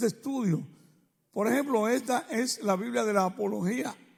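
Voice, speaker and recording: At a fairly slow pace, a man with a high voice speaks with ordinary pitch variation. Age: 60s. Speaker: preacher. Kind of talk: sermon.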